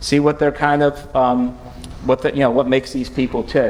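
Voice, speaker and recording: A man's fairly high-pitched voice is heard with noticeable background noise behind it. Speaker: lawyer presenting at conference. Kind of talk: conference presentation. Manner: fast; halting, many fillers and restarts.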